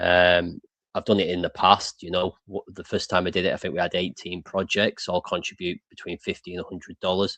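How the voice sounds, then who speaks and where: Dry and close with no echo, a man's voice in an English accent moves at a fairly quick pace. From England. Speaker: crypto show host. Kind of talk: casual chat.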